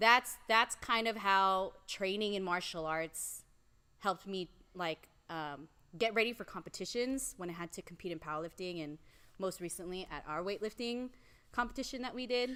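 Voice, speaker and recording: A loud woman's voice, bright and sharp in tone, at medium pitch and a moderate pace. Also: ordinary pitch variation. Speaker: strength coach and powerlifter. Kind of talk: casual chat.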